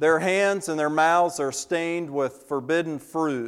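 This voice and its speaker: The recording is very clean, with a silent background. A man with a fairly high pitch speaks at a fairly slow pace with ordinary pitch variation. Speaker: visiting preacher. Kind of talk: sermon. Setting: church service with congregation.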